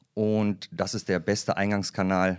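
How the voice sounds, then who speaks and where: A man talks in an unremarkable speaking voice at a fairly low pitch with fairly even intonation. The recording is very clean, with a silent background. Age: 40s. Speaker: HR development manager at a bank. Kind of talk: casual interview.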